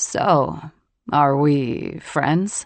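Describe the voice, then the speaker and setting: A woman puts on a raspy character voice pitched very deep and low, with ordinary pitch variation and an amused tone. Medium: read story. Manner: dryly amused, easygoing.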